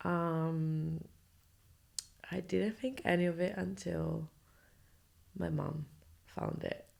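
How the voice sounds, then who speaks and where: A quiet woman at a very slow pace, with long, frequent pauses. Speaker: podcast host. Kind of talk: personal storytelling monologue. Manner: speaking quietly.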